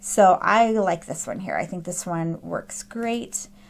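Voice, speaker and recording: Music plays behind a woman speaking at a medium pitch. Her intonation stays fairly even. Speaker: craft and printables tutorial creator. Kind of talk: screen-recorded software tutorial. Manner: casual with frequent fillers (um, uh).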